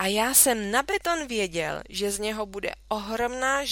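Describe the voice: Plain reading aloud comes with pitch that varies in an ordinary way.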